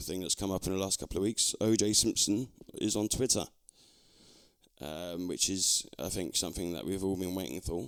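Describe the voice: Recorded very cleanly against a silent background, a man with a very deep, low pitch talks at a moderate pace with ordinary pitch variation.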